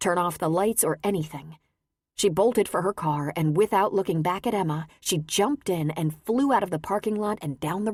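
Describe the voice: Reading aloud, plain, with ordinary pitch variation and a quiet background.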